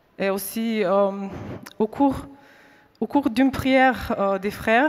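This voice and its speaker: A woman speaks at a very slow pace with a non-native accent. Her fairly high pitch shows ordinary variation. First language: not French (speaking French). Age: 30s. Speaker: faith witness. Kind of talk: testimony. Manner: halting.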